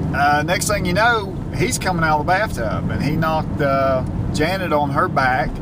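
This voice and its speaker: Someone talks at a fairly slow pace in a dry sound with no echo, against loud background noise. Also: man. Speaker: vlogger. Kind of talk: casual vlog chat. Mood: relaxed storytelling. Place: car. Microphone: phone near.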